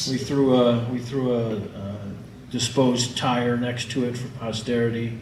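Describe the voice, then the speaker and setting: Delivered at a fairly slow pace with monotone, flat intonation, the speech carries audible room echo and noticeable background noise. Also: man, medium pitch for a man. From northern Illinois, US Midwest. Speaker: filmmaker. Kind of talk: presentation about his film.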